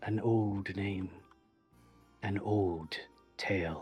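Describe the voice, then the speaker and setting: A man's put-on character voice, fairly low-pitched and flat in a monotone, with faint music in the background. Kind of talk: archaic solemn speech. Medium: actual play. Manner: slow, cryptic, ominous.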